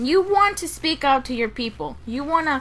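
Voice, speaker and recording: Raising and projecting her voice, a woman speaks at a high pitch with very wide pitch swings. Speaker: gaming YouTuber. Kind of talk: casual vlog monologue. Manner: halting, repeats words.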